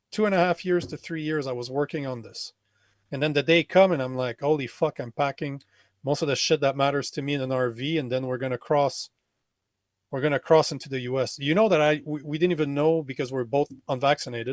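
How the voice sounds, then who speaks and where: An unremarkable speaking voice from a man, fairly high in pitch with ordinary variation, at a fairly quick pace, in a dry, close sound with no echo on a very clean recording with a silent background. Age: 40s. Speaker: men's coach and podcaster. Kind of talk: casual chat.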